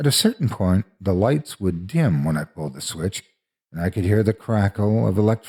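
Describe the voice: With a quiet background, a person does plain reading aloud using lively intonation.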